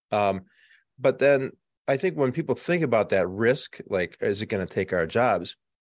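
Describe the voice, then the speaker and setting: Against a quiet background, a man of medium pitch speaks at a moderate pace, his pitch swinging very widely. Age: 50s. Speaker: marketing agency executive. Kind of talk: interview.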